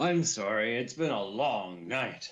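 Put-on character voice from a man, raspy and medium in pitch, with lively intonation at a fairly slow pace. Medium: actual play.

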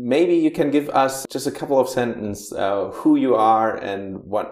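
The speaker talks at a fairly slow pace with a German accent. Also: man. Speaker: podcast host. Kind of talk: interview.

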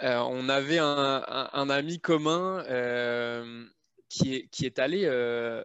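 A man's medium-pitched voice at a very slow pace. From France. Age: 30s. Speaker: software programmer. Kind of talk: casual chat.

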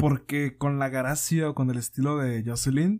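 In a very clean recording with a silent background, a man with a Mexican accent speaks at a fairly high pitch with fairly even intonation. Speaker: podcast host. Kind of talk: casual chat.

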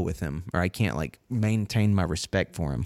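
In a very clean recording with a silent background, a man speaks with a North Carolina accent. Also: dry, close sound with no echo. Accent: Southern US (North Carolina). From North Carolina, Winston-Salem/King area. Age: 30s. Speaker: podcast host. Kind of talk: casual chat.

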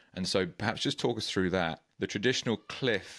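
A man speaks with a British accent in a very deep, low voice. His pitch varies in an ordinary way against a quiet background. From UK. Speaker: podcast host. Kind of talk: interview.

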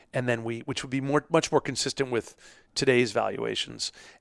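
A man with an American accent speaks at medium pitch, fairly quickly, with vocal fry and an energetic tone. The recording is very clean with a silent background and a dry, close sound with no echo. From New York. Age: 50s. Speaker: entrepreneur and venture investor. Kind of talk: interview.

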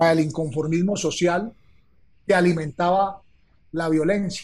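A man speaks with ordinary pitch variation. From Colombia. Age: 50s. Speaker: retired army colonel. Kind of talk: conversation. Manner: formal.

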